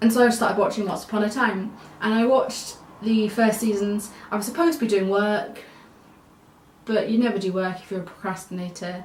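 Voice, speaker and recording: A woman's fairly high voice with fairly even intonation and long, frequent pauses, amid noticeable background noise and audible room echo. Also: fairly quick pace. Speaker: vlogger. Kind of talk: casual vlog monologue.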